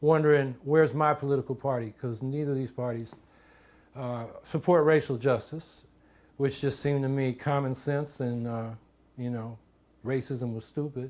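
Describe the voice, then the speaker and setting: A man with an American accent and an unremarkable speaking voice, fairly high in pitch, at a moderate pace with fairly even intonation, in a very clean recording with a silent background. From US West Coast, San Francisco Bay Area. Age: 50s. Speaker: political candidate. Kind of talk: campaign biography monologue. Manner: conversational.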